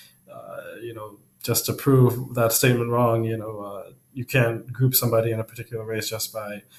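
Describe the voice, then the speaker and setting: A man speaks in a medium pitch at a moderate pace. His voice is somewhat breathy, and his intonation is monotone and flat. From Trinidad. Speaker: student presenter. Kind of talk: class presentation discussion. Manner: hesitant, many fillers.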